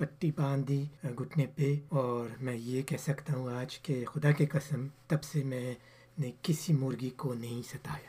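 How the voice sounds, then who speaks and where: Fairly high in pitch yet dark and mellow in tone, a man's somewhat breathy voice keeps a fairly even intonation. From France (Paris), born in Pakistan. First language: French (speaking Urdu). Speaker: engineer. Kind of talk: interview.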